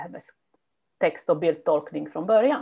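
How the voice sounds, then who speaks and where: A woman speaks with a non-native accent. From immigrant to Sweden. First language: not Swedish (speaking Swedish). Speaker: language teacher and teacher trainer. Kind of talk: interview.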